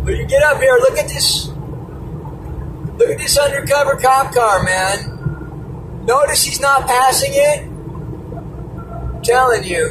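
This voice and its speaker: A man speaking at a very slow pace over noticeable background noise. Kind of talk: casual vlog chat. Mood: amused, suspicious of cops. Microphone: phone near.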